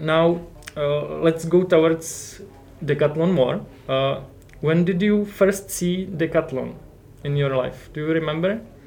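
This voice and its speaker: A man's fairly high voice with a Czech accent, fairly slow and fairly even in intonation, with long, frequent pauses and music in the background. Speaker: podcast co-host. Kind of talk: interview.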